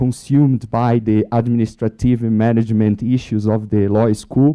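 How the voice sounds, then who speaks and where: A man's medium-pitched voice, flat and monotone, at a moderate pace. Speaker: law professor. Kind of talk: panel discussion. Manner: halting, many false starts.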